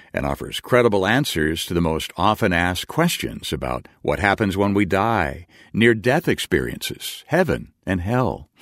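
On a very clean recording with a silent background and a dry, close sound with no echo, a man with vocal fry speaks at a moderate pace. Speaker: radio announcer. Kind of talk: scripted narration. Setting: studio.

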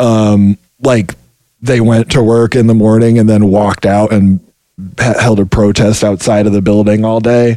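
A man speaks in a monotone, flat intonation at fairly low pitch, with a dark, mellow tone and very even loudness. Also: moderate pace. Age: 30s. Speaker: video game QA worker. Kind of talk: interview.

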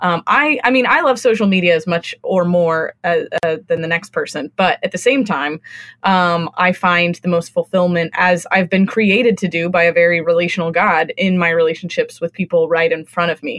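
Her voice is an ordinary speaking voice, a woman's at a fairly low pitch with ordinary pitch variation. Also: moderate pace, dry, close sound with no echo. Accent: American. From California. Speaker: book marketer. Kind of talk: casual chat.

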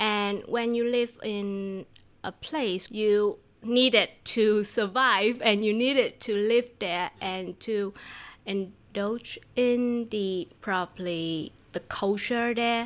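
At a very slow pace, a woman with a Vietnamese accent speaks with fairly even intonation on a very clean recording with a silent background. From southern Vietnam. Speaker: language teacher. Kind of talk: casual interview. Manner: laughs often.

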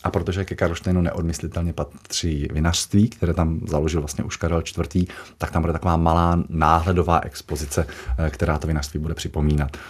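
At a fairly quick pace, a man talks in a very deep, low voice that is somewhat breathy. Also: fairly even intonation. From Czechia, Moravia (Jaroměřice nad Rokytnou). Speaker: castle custodian. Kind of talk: radio interview.

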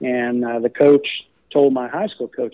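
At a moderate pace, a man with an American accent speaks in a plain, everyday voice at a medium pitch. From Texas, College Station. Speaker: college golf coach. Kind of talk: interview.

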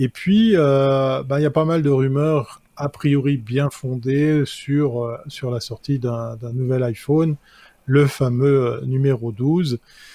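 A man's fairly high voice, dark and mellow in tone, very slow, with ordinary pitch variation. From Switzerland. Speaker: tech columnist, advertising awards presenter. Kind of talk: casual chat.

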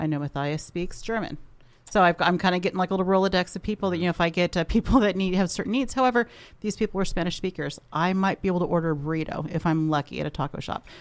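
Talking very fast at a fairly low pitch, a woman shows ordinary pitch variation. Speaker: show staff member. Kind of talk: casual radio talk.

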